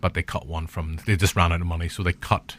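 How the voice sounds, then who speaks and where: A man with a Northern Irish accent speaks on a very clean recording against a silent background. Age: 40s. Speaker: podcast host. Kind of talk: casual chat. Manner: animated.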